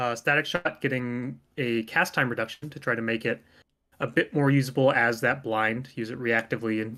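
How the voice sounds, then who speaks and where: A man speaks at a fairly quick pace in a bright, sharp tone. The recording is very clean, and the background is silent. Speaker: game developer. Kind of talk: patch notes presentation. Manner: fast.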